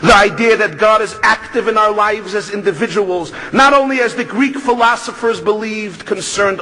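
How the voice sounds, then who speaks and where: In a New York accent, a man with a high pitch uses a raised, projected voice at a moderate pace over noticeable background noise. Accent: New York Brooklyn. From US Northeast, Brooklyn New York. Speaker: rabbi and speaker. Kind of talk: speech.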